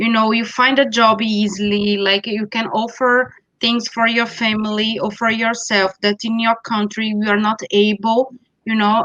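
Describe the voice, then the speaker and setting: A woman with a Brazilian Portuguese accent speaks in a bright, sharp tone at a fairly high pitch with monotone, flat intonation. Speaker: school network representative. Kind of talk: online info session.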